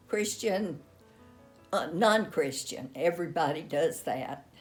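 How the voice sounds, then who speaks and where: Music plays in the background. Over it, a woman talks with lively intonation. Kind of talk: interview answer. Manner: slow, reflective.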